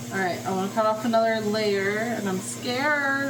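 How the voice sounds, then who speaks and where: A woman talks at a moderate pace with a fairly high pitch and ordinary pitch variation. Audible room echo and noticeable background noise surround her voice. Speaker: lifestyle vlogger. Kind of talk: casual cooking vlog. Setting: home kitchen. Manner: loud, yelling at times; animated. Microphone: no mic, camera audio.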